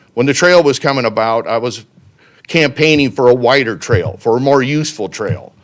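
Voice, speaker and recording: A man with an unremarkable speaking voice talks at a fairly quick pace. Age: 60s. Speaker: city council candidate. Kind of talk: public comment speech. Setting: city council meeting.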